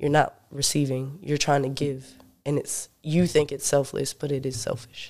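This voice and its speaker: This man has an American accent and a fairly high pitch. He keeps a moderate pace with flat, monotone intonation. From US South, North Carolina. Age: 20s. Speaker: musician. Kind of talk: casual chat.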